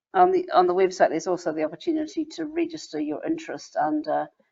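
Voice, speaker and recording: A woman is speaking with a New Zealand accent. Her pace is fairly quick. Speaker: membership organizer of a women's service organization. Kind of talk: online information session. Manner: halting.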